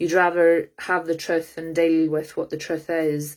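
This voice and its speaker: The speaker has a Scottish accent and a monotone, flat intonation. The recording is very clean with a silent background. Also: woman. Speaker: psychic reader. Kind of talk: live psychic reading. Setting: livestream. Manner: halting with many fillers.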